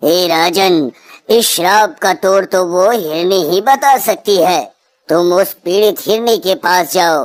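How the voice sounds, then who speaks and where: A woman's cartoonish character voice at a medium pitch and a fairly slow pace. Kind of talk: devotional sage speech. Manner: solemn, measured.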